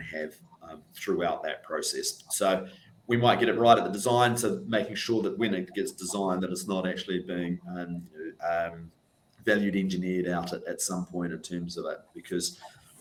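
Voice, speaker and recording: A man with a New Zealand accent and a fairly low pitch. He talks at a moderate pace. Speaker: NHS estates sustainability manager. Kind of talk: panel discussion. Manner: hesitant, many fillers.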